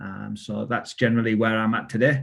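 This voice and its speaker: Medium in pitch, a man talks at a fairly quick pace. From UK. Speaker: tech founder. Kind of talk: self-introduction.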